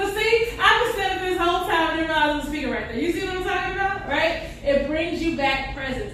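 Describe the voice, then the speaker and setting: Loud and extremely high-pitched, a woman talks very fast in an animated tone with lively intonation and hardly any pauses, over noticeable background noise. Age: 30s. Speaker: workshop instructor for teens. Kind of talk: interactive workshop teaching.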